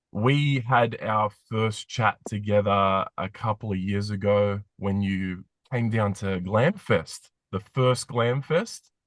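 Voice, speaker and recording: Speaking with an Australian accent, a man has a fairly low pitch and ordinary pitch variation at a very slow pace. The sound is dry and close with no echo, over a quiet background. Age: 40s. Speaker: podcast host, former radio host. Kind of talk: interview.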